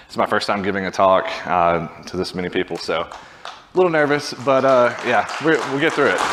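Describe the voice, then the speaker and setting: Someone with a Southern US accent talks at a fairly quick pace with very wide pitch swings over noticeable background noise. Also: man, medium pitch for a man. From US South, Birmingham, Alabama. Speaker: software engineering manager. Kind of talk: conference talk.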